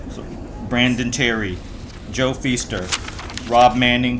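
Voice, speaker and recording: Male speech with noticeable background noise and audible room echo. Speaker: ceremony emcee. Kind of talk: ceremony speech.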